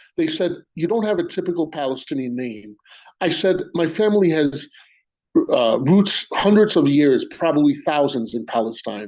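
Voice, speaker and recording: Lively intonation marks this man's speech in a New York accent. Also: fairly high pitch for a man, moderate pace. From New York City, Queens. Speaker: spoken word poet. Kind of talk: poetry reading. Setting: video call on a phone. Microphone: phone mic.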